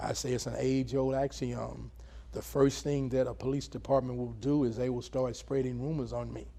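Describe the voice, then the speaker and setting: Audible room echo surrounds a man delivering his words at a moderate speed. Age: 60s. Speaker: former police chief. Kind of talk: interview.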